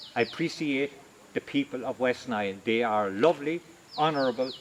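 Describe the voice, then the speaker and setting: Noticeable background noise sits behind a man with an Irish accent, his pitch fairly high and his intonation lively. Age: 70s. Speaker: religious brother and retired agriculture teacher. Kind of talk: video address.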